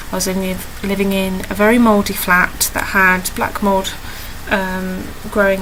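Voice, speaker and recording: Medium-pitched woman's voice in a British accent at a fairly slow pace, with audible room echo and noticeable background noise. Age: 20s. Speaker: video diarist with chronic illness. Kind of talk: personal video diary. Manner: halting, many fillers.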